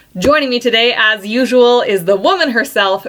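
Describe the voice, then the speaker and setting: A woman's fairly high, lively voice at a fairly quick pace, with noticeable background noise. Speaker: podcast host. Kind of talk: casual podcast conversation.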